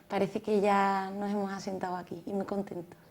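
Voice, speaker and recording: A woman speaks at a moderate pace with a Cádiz Andalusian accent. Her tone is dark and mellow, and the recording is very clean with a silent background. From Cádiz, Andalusia, Spain. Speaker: music method founder, pianist and architect. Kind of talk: TV interview.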